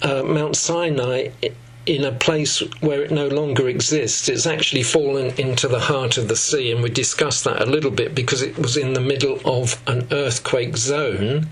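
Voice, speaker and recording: Moderately paced speech from a man with a fairly high pitch, plus audible room echo and noticeable background noise. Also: fairly even intonation. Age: 70s. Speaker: Bible teacher. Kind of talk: lecture.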